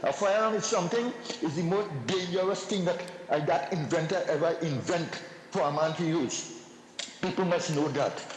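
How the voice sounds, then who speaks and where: A man with a Trinidadian accent speaks at a moderate pace in a high pitch, with ordinary pitch variation and very even loudness. Noticeable background noise and audible room echo are present. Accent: Trinidadian English Creole. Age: 70s. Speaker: caller. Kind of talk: call-in comment. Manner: halting, repetitive.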